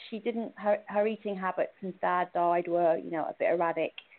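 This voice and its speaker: A woman speaks with a British accent. Her pitch varies in an ordinary way. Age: 50s. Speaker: cancer survivor, former hairdresser. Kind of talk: personal testimony. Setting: phone call.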